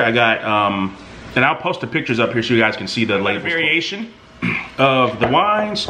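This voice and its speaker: A man's voice moves in very wide pitch swings. Light background noise sits behind it. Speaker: vlogger host. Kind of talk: casual vlog chat. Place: home room. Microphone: camera far.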